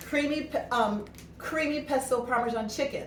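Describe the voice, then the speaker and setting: Over noticeable background noise and audible room echo, a woman with a high pitch talks in an animated tone with lively intonation. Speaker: cooking product consultant. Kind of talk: cooking demo and product pitch. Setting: at home, snow outside. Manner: fast.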